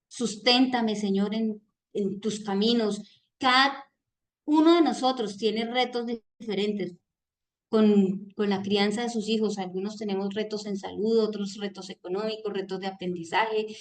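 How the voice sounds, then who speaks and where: At a fairly slow pace, a woman speaks with a fairly high pitch and fairly even intonation. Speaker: reading group leader. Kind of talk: book club talk on video call. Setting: video call. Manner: loud.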